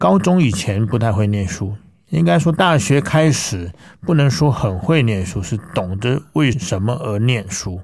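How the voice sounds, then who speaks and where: A man's medium-pitched voice at a very slow pace, with very wide pitch swings, in a very clean recording with a silent background. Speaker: classical singer. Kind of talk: interview testimony. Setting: studio.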